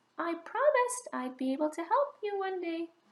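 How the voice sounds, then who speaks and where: A woman uses a squeaky put-on character voice at an extremely high pitch and a moderate pace. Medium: read story. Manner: earnest, polite.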